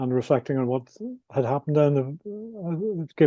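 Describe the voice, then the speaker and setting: A man with a Northern Irish accent talks at a fairly quick pace in a dark, mellow tone. The sound is dry and close with no echo. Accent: Northern Irish (Belfast). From Northern Ireland, Belfast. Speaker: adventurer and author. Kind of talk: interview. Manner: halting, with repetitions and fillers.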